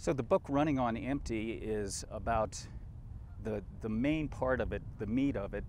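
A man with an American accent and vocal fry, at a fairly slow pace with ordinary pitch variation, in a dry sound with no echo and noticeable background noise. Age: 60s. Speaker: ultrarunner and mountaineer; interviewee. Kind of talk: interview. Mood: calm reflective storytelling. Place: waterside.

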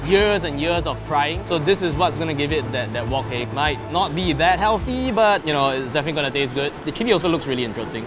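Over clear music in the background, the speech rushes along at a very fast pace with hardly any pauses. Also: man. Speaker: food show host. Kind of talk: casual food review chat. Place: market. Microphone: lapel.

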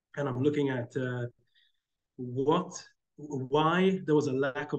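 Over a quiet background, a man speaks in a somewhat breathy voice at a fairly high pitch with fairly even intonation. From Malta. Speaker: academic researcher; panelist. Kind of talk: webinar talk. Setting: video call. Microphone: video call.

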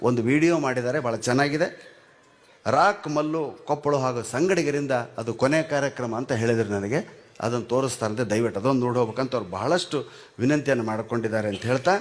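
A man is talking at a medium pitch. His pitch varies in an ordinary way. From North Karnataka, Gangavathi. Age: 60s. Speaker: comedian. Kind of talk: stand-up. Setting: stage with audience. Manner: animated.

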